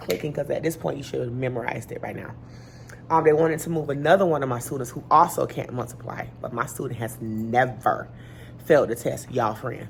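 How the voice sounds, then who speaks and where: A woman talks at a very fast pace with music in the background. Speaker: elementary school teacher. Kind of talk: casual vlog talk to camera.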